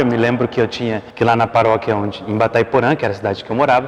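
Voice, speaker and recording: Noticeable background noise is present. Over it, a man speaks. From Brazil, Mato Grosso do Sul. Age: 20s. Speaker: seminarian. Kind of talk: testimony.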